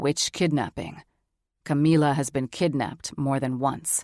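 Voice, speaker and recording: A put-on character voice, gravelly and low-to-middle in pitch, moves at a moderate pace over a very clean recording with a silent background. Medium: read story.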